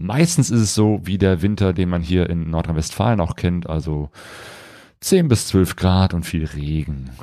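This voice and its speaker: Very deep and low, a man's voice has a dark, mellow tone and ordinary pitch variation at a fairly slow pace. The recording is very clean, with a silent background. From western Germany, near Cologne. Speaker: travel podcast host, motorcycle traveller. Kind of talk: casual chat. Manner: hesitant, many fillers.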